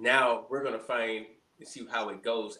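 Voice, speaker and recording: In a room with audible echo, a man speaks at a fairly slow pace in a medium pitch with monotone, flat intonation. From Alabama (Montgomery). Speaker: reality TV contestant. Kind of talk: interview.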